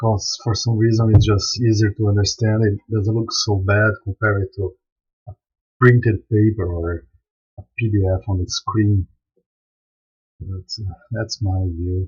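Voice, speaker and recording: A man with a non-native accent, somewhat breathy and fairly low in pitch, with monotone, flat intonation and long, frequent pauses. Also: fairly slow pace. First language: not English. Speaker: software developer and live streamer. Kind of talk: live stream software demo. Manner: casual, halting with repetitions.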